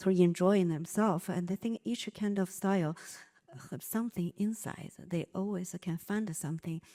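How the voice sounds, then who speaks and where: At a moderate pace and medium pitch, a woman with a Chinese accent speaks in a dark, mellow tone with fairly even intonation, the sound dry and close with no echo. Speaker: dance company artistic director. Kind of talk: panel discussion. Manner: halting.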